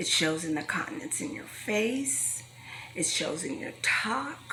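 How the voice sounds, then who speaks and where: With noticeable background noise and audible room echo, a woman with a fairly high pitch talks at a fairly slow pace, her pitch swinging very widely. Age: 60s. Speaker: health talk speaker. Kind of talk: motivational talk to young adults.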